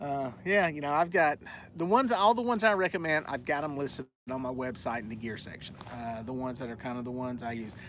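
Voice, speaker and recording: A man speaks in a Southern US accent at a fairly quick pace. His pitch runs fairly high. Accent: southern twang. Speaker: fishing youtuber. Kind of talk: live stream Q&A. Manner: casual, many fillers.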